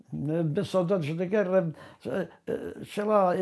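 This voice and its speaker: Against a quiet background, the voice moves at a very slow pace in a dark, mellow tone with ordinary pitch variation. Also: man. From Portugal, Alentejo (Grândola); Portugal. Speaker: former political prisoner. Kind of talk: testimony. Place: home room.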